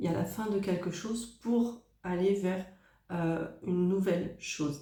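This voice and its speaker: Audible room echo surrounds a woman whose medium pitch follows a fairly even intonation. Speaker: tarot card reader. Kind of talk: tarot reading. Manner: hesitant, many fillers.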